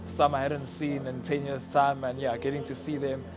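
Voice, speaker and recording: With noticeable noise behind him, a man talks at a medium pitch. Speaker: professional rugby player. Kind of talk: casual interview statement. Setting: school reunion dinner.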